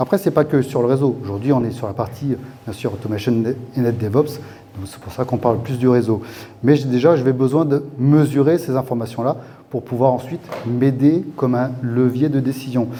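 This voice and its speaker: Noticeable background noise sits under a man's medium-pitched voice at a fairly quick pace. His intonation is fairly even, but his loudness swings widely. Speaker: tech company executive speaking at conference. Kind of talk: conference talk. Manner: fast; hesitant, many fillers.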